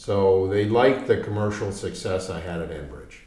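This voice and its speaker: A man's very deep, low voice at a moderate pace, amid noticeable background noise and audible room echo. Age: 60s. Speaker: mining company executive. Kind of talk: business interview. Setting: studio in London.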